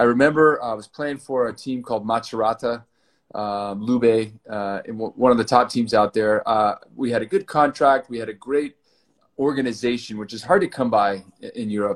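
An unremarkable speaking voice from a man with an American accent, medium pitch, ordinary pitch variation, big swings in loudness and a moderate pace. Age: 40s. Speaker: former pro volleyball player and fitness startup founder. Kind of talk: interview.

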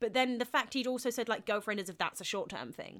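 Here a woman talks with a British accent. Her voice is high-pitched. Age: 20s. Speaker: podcast co-host. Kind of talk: casual chat.

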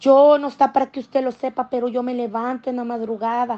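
Her pitch is high, and she is a woman. She speaks at a moderate pace with fairly even intonation. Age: 40s. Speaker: church member giving testimony. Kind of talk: testimony.

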